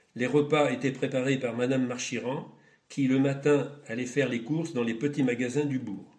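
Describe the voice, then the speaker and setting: The man speaks with monotone, flat intonation. There is audible room echo. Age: 80s+. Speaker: retired schoolteacher. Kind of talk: testimony. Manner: formal.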